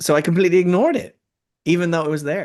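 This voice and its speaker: A man speaks very fast with an Irish accent against a quiet background. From Ireland. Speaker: spiritual speaker. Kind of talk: casual discussion. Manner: halting.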